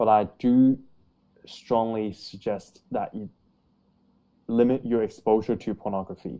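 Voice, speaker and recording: Over a silent background in a very clean recording, a man with an Australian accent and a dark, mellow tone speaks at medium pitch and a fairly slow pace, in monotone, flat intonation with long, frequent pauses. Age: 20s. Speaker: YouTuber on height growth. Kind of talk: casual interview chat. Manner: hesitant, many fillers.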